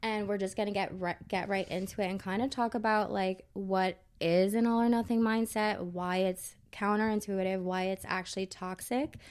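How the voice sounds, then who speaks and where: Over a very clean recording with a silent background, a woman with an ordinary speaking voice talks at a moderate pace, medium in pitch, with fairly even intonation. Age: 20s. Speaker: podcast co-host, fitness coach. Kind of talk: casual chat.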